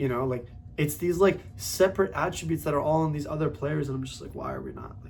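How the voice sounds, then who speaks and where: Talking very fast in an animated way, a man uses a fairly high pitch with ordinary pitch variation and vocal fry. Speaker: football fan video creator. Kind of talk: casual football talk monologue.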